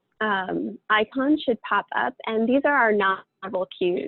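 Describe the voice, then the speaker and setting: Speaking at a fairly slow pace, a woman at medium pitch has an unremarkable speaking voice. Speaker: webinar facilitator. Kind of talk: webinar presentation.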